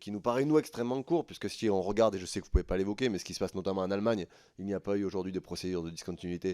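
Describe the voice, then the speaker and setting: A man's dark, mellow, fairly low voice at a very fast pace with ordinary pitch variation, dry and close with no echo in a very clean recording with a silent background. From southern France, Tarn. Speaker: member of parliament. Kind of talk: parliamentary hearing questioning.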